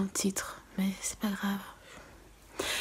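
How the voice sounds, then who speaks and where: This is a woman speaking at a medium pitch. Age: 20s. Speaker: beauty vlogger. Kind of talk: storytime vlog.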